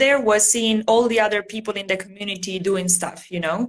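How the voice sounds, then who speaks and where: Her delivery has an Italian accent. The woman keeps a moderate pace. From Italy. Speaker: bullet journal artist. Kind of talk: casual interview chat. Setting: livestream video call.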